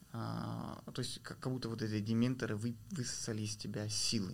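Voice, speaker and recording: A man with a fairly low voice talks at a moderate pace in a monotone, flat intonation. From Kazakhstan, rural village. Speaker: PR specialist and documentary filmmaker. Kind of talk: interview.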